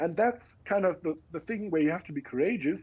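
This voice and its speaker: A man speaks with a German accent at a fairly quick pace. His pitch is high. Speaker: education researcher. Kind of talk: interview. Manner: halting.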